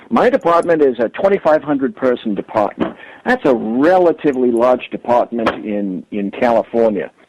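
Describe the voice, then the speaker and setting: A man with a normal speaking voice talks at medium pitch and a moderate pace, using lively intonation and hardly any pauses. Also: dry, close sound with no echo. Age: 60s. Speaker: police sergeant. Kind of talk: call-in commentary. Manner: formal.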